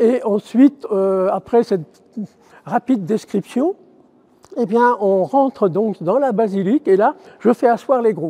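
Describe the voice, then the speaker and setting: Speaking at a fairly slow pace with long, frequent pauses, a man uses a high pitch and lively intonation in a dry, close sound with no echo. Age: 70s. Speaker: retired teacher, volunteer basilica guide. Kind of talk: interview testimony. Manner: hesitant, many fillers.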